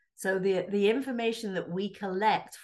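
Moderately paced speech from a woman in an English accent, with ordinary pitch variation. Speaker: realtor and real estate board president. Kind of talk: radio interview. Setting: radio studio.

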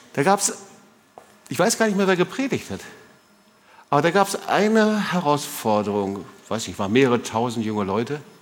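This man talks at a moderate pace in an animated tone, his fairly high voice swinging very widely in pitch. He leaves long pauses often. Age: 60s. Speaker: pastor. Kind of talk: sermon.

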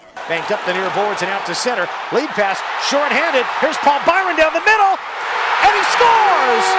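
A man speaks at an extremely high pitch with very wide pitch swings. There is noticeable background noise. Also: moderate pace. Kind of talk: live play-by-play commentary call of a hockey goal.

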